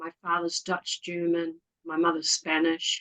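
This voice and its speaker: In a New Zealand accent, a woman speaks fairly slowly at a fairly low pitch, the sound dry and close with no echo. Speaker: community volunteer. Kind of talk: casual interview chat.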